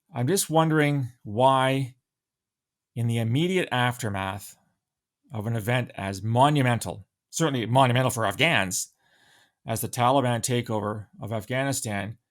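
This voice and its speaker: A man with a Canadian accent speaks at a medium pitch and moderate pace, with ordinary pitch variation, long, frequent pauses, and a very clean recording with a silent background. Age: 60s. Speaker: podcaster, former intelligence analyst. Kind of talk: solo podcast commentary.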